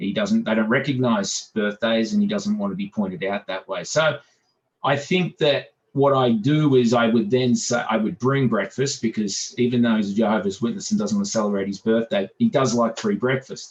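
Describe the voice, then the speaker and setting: A man with an Australian accent talks at a moderate pace and medium pitch, his intonation swinging very widely. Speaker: business owner. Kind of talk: group video meeting discussion.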